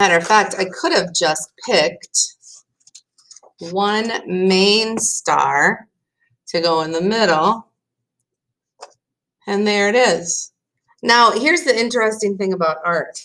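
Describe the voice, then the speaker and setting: A woman speaks at a medium pitch with a bright, sharp tone and ordinary pitch variation. Her pace is very slow, with long, frequent pauses. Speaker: art teacher. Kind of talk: tutorial. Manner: casual, thinking aloud with fillers.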